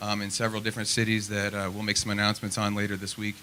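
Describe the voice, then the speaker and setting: A man's fairly low voice with an American accent at a very fast pace. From Nebraska, Lincoln. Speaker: political candidate. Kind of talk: opening statement at candidate forum. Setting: public forum with audience. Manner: halting, many fillers.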